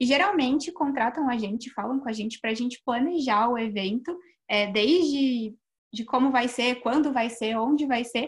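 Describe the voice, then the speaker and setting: A woman with a normal speaking voice talks at a moderate pace and fairly high pitch with ordinary pitch variation, on a very clean recording with a silent background. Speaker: public relations student, events and finance. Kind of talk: casual chat.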